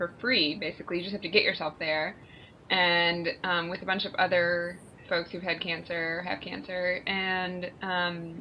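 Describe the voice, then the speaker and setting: A woman's fairly low voice at a fairly slow pace, a plain, everyday voice. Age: 30s. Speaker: cancer survivor podcast co-host. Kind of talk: casual chat.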